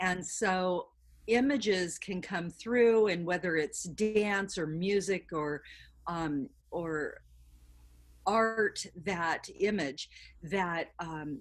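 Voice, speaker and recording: A woman at medium pitch, speaking very slowly, with ordinary pitch variation. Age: 60s. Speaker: artist and educator. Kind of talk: interview.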